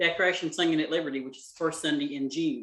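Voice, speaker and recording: A bright, sharp tone in a Southern US accent, with ordinary pitch variation. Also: man. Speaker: cooking class teacher. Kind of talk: casual chat. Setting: video call. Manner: fast.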